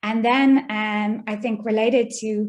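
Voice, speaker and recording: A woman with an Irish accent speaks at a fairly high pitch, keeping her intonation fairly even. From Ireland. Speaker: data scientist, guest speaker. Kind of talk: lecture.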